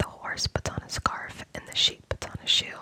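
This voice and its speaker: A woman whispering at a fairly slow pace, dry and close with no echo, over noticeable background noise. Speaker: ASMR creator. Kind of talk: ASMR children's book reading for sleep. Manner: soft-spoken, whispering.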